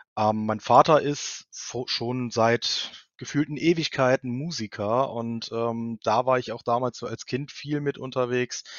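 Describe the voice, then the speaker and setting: The voice moves at a very slow pace with hardly any pauses. Its intonation stays fairly even. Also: man, medium pitch for a man. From Germany, Cologne. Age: 30s. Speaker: multimedia technician in public administration. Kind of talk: interview. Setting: video podcast recording. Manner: hesitant, many filler sounds.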